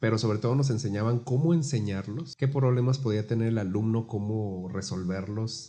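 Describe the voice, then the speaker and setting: This man has a medium pitch and a dark, mellow, somewhat breathy tone. He talks at a moderate pace with ordinary pitch variation. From Guadalajara, Mexico. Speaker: baritone singer and music teacher. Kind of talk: casual interview.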